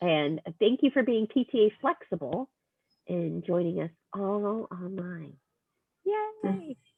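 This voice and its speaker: A woman at a medium pitch speaks very slowly with lively intonation and long, frequent pauses. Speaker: PTA trainer. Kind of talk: online meeting. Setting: video call.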